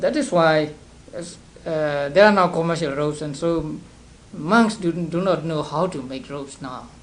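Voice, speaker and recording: A man with a Burmese accent speaks at a moderate pace, in a fairly high pitch with ordinary pitch variation. His loudness swings widely, and room echo is audible. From Burma (Upper Burma, Sagaing). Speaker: Buddhist monk teacher. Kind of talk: lecture. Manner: halting, many repetitions and fillers.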